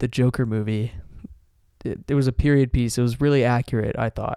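Here a man with an American accent talks at medium pitch with ordinary pitch variation and a dark, mellow tone. The recording is very clean, with a silent background. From South Carolina. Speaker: podcast co-host. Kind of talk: casual chat.

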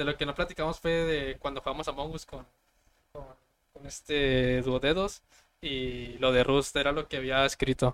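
With fairly even intonation, an unremarkable speaking voice proceeds at a moderate pace. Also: man, fairly high pitch for a man. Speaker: podcast host. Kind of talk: casual chat. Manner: casual, slangy.

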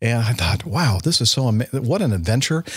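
A somewhat breathy man with an American accent at a moderate pace. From US (California, later Alabama). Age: 60s. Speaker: airline pilot. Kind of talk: casual interview chat.

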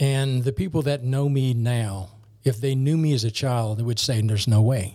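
Somewhat breathy and dark, mellow in tone, a man speaks at medium pitch and a moderate pace with ordinary pitch variation. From New Orleans, Louisiana. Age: 50s. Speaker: military colonel and project manager. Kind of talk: casual podcast interview.

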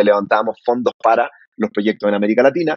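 A man at a medium pitch and a very fast pace, ordinary pitch variation, dry and close with no echo. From Chile, Santiago area. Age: 30s. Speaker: startup founder. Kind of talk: interview.

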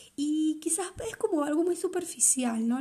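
Ordinary pitch variation shapes a woman's dark, mellow tone. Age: 30s. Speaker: podcast host. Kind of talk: casual monologue.

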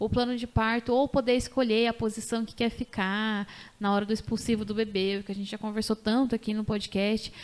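A woman talks at a fairly quick pace. Her pitch is fairly high. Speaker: podcast host and doula. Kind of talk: casual chat. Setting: studio. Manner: animated.

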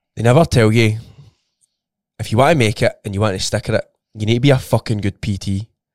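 A man's medium-pitched voice with ordinary pitch variation, a very fast pace broken by long, frequent pauses, and a dry, close sound with no echo. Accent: Scottish. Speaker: personal trainer. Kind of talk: casual chat.

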